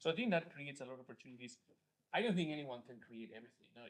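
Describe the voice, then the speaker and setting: A man speaks in a Spanish accent. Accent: Spanish accent, noticeable. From Spain. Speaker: venture investor. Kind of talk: panel discussion. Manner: halting, many fillers and repeated words.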